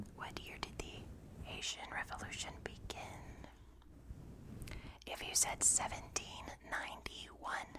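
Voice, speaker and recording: A woman whispering at a very slow pace amid noticeable background noise. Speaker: ASMR creator. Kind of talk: ASMR sleep quiz. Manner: whispered.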